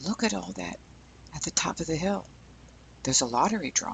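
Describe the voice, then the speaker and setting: A man is speaking. His voice is quiet. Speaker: boat captain and fishing video narrator. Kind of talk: on-location documentary narration. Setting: outdoors on a fishing pier. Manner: hushed, talking quietly; animated.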